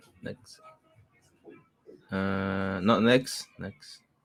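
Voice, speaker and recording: Music plays in the background. A man speaks in a fairly low pitch with monotone, flat intonation. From Peru. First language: Spanish. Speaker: English learner. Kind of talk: language lesson. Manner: halting.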